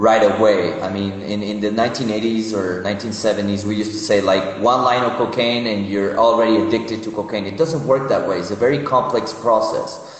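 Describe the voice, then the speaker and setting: With a Spanish accent and ordinary pitch variation, a man talks at a moderate pace through noticeable background noise and audible room echo. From Mexico City. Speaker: psychologist, addiction counselor. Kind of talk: interview. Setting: Instagram live video call from his phone.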